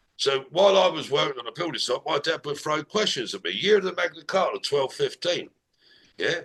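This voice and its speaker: In an English accent, a man delivers his words at a medium rate. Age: 60s. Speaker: business strategist. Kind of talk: casual conversation.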